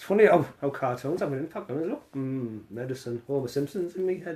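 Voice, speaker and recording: A man's dark, mellow tone at medium pitch, in a British accent, with very wide pitch swings. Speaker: cannabis live streamer. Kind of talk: casual live stream chat reading comments. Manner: animated.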